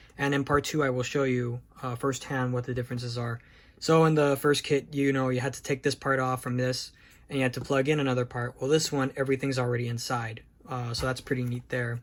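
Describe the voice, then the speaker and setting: A man speaks very fast in a medium-pitched, monotone, flat delivery. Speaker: model kit reviewer. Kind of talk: product review tutorial. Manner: casual, halting with fillers.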